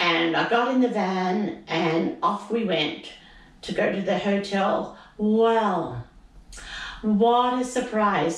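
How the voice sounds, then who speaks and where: Very slow, medium-pitched woman's voice with lively intonation and noticeable background noise. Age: 80s+. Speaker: retiree. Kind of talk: interview answer.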